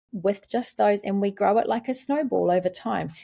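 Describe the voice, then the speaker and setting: Speaking at a moderate pace, a woman talks with a New Zealand accent. Her tone is dark and mellow. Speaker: literacy specialist. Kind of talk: podcast interview.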